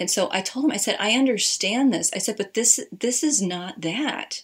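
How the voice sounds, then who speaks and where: A woman with an American accent, a normal speaking voice, ordinary pitch variation and a moderate pace. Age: 30s. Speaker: marriage and family therapist. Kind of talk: casual chat.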